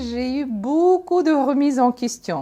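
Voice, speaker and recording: A woman is speaking. She has a Russian accent. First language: Russian (speaking French). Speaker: entrepreneur. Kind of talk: testimony. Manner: halting.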